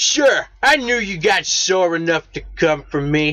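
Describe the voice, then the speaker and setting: Using a gruff, put-on character voice, a man talks at a fairly slow pace, his high pitch making very wide swings. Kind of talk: 1940s gangster talk. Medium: read story. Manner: gruff, tough-guy slang.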